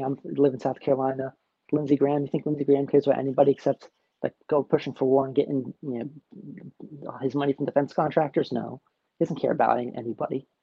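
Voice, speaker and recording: A man with an American accent, talking very fast with vocal fry. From New Jersey. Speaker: political social media commentator. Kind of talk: casual chat.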